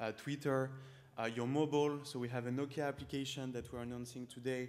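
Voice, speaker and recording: A man's medium-pitched voice in a flat monotone. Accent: strong French. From France. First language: French. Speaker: startup founder. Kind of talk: startup pitch with live demo.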